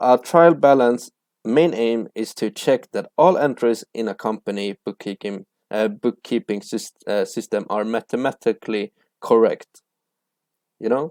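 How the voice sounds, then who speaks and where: A man talks at a fairly slow pace with medium pitch and ordinary pitch variation. The sound is dry and close, with no echo. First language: not English (English is third language). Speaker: accounting tutor. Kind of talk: tutorial. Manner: hesitant, with fillers and restarts.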